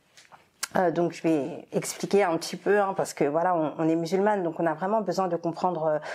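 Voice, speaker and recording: This woman speaks at a moderate pace in a fairly low pitch, her tone dark and mellow with ordinary pitch variation, on a very clean recording with a silent background. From Martinique and Congo heritage. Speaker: marriage counsellor. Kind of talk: interview. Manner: hesitant, many fillers.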